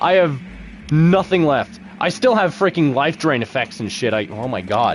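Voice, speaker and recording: A man with a fairly high voice and vocal fry speaks at a moderate pace in an animated tone, his pitch swinging very widely. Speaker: gaming streamer. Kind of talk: live gameplay commentary. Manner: soft-spoken.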